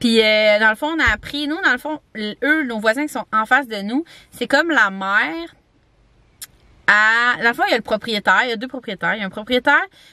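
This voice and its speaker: With a Quebec accent, a woman talks at a fairly high pitch and fairly quick pace, with lively intonation and a dry, close sound with no echo. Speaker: vlogger. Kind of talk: casual vlog talk to camera. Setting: campground. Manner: chatty, fast, many fillers.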